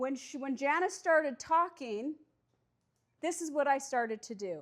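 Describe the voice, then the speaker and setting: A loud, animated woman with a high pitch, lively intonation and a moderate pace. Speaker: recovery coach. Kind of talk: workshop talk.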